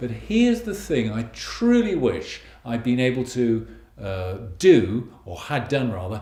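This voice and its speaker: With a British accent, a man speaks at a fairly slow pace and medium pitch, his dark, mellow tone somewhat breathy and his intonation lively, with audible room echo around him. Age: 60s. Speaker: financial planner. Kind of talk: video blog monologue. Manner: conversational, with hesitations.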